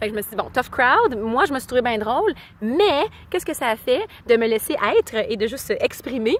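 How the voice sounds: Speaking fairly quickly in a Quebec accent, a woman lets her pitch swing widely. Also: fairly high pitch for a woman. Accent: Québécois.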